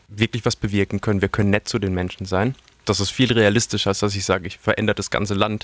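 The man's voice is fairly low and monotone, with flat intonation. The sound is dry and close, with no echo. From Karlsruhe, Baden, Germany. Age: 30s. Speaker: singer-songwriter. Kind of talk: interview.

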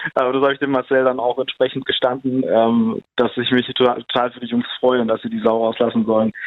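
An ordinary speaking voice moves at a fairly quick pace. There are hardly any pauses. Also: man, medium pitch for a man. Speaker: film director. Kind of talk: interview.

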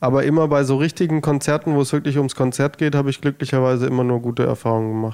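This man's voice has a dark, mellow tone and sits at a medium pitch. He speaks at a fairly quick pace with fairly even intonation. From Germany, village near Heilbronn (Baden-Württemberg). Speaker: singer-songwriter. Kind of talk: interview.

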